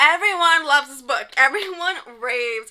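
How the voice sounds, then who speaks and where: A woman speaks in a raised, projected voice with lively intonation. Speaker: book reviewer. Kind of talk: casual, enthusiastic. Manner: fast talker.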